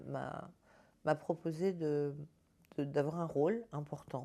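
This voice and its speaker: Over a silent background in a very clean recording, a woman speaks very slowly with a very deep, low pitch and a dark, mellow tone. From Paris region, France. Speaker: spiritual healer. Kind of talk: personal testimony. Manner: halting, repeats words.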